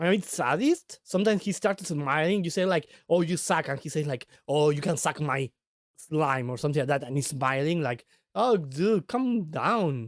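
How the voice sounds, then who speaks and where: A man speaks at a moderate pace in a fairly high pitch with lively intonation. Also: dry, close sound with no echo. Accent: non-native. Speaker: vtuber streamer. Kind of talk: casual live stream chat. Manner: halting, many repetitions and fillers.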